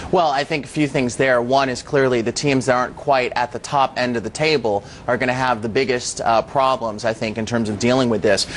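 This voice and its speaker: Over noticeable background noise, a man speaks fairly quickly with hardly any pauses, keeping a medium pitch and fairly even intonation. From United States. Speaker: company chief executive. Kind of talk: TV interview.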